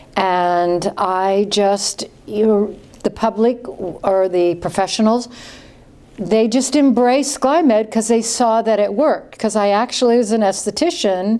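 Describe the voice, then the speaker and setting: A woman speaks at a fairly slow pace with very even loudness and ordinary pitch variation. Her fairly high voice has a dark, mellow tone. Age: old. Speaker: esthetician and skincare company founder. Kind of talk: interview.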